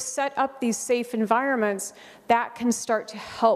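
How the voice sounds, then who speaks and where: This is an unremarkable speaking voice with an American accent. It moves at a fairly slow pace with fairly even intonation. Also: woman. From United States. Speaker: conference speaker on school behavior support. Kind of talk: conference presentation.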